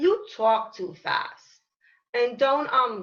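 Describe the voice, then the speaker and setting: A woman speaks at a very slow pace in a raised, projected voice that is high-pitched, with a bright, sharp tone. Her pitch swings very widely. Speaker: program participant. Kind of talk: poetry reading. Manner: halting.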